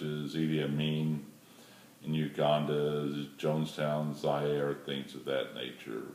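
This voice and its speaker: A man talks with a very deep, low pitch. Noticeable background noise and audible room echo fill the recording. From moved around as military child. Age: 60s. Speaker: retired airline pilot. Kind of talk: audition video.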